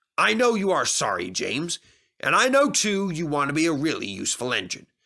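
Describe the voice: A put-on character voice with vocal fry and a bright, sharp tone, very wide pitch swings and a fairly quick pace, on a very clean recording with a silent background. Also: man, fairly high pitch for a man.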